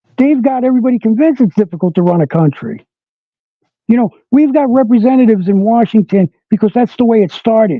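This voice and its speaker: In an American accent, a man talks at a very fast pace with high pitch. His tone is animated and his intonation lively. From New York. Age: 60s. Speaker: political commentator. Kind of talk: interview.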